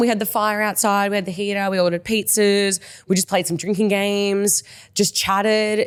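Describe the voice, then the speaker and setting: Her tone animated, a woman talks with an Australian accent. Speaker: podcast co-host and mindset coach. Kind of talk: casual chat. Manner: fast.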